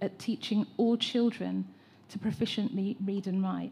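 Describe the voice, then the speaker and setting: A woman with an English accent speaks at a moderate pace, her tone dark and mellow and somewhat breathy. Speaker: educator and teacher trainer. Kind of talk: public consultation contribution.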